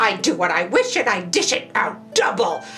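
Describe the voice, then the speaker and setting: Over clear music in the background, a woman does a put-on character voice at a fairly slow pace. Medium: read story. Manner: boastful, blustering.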